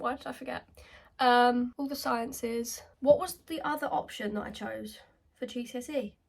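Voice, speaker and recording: In a southern English accent, a woman with a high pitch speaks at a fairly slow pace with ordinary pitch variation. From England, Kent. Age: 20s. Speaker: beauty vlogger. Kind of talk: casual chat. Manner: animated.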